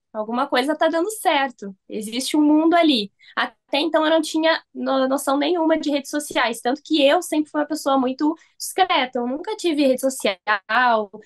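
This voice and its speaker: A woman talks at a moderate pace with a high pitch. Her pitch varies in an ordinary way, and the background is quiet. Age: 20s. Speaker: digital marketing entrepreneur; guest. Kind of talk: interview. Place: home room. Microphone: video call.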